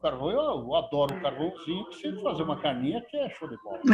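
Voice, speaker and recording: At a moderate pace, a man speaks with lively intonation and a somewhat breathy voice. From Rio Grande do Sul, southern Brazil. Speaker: Rotary district governor. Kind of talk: casual remarks at virtual meeting. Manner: halting, repeats words.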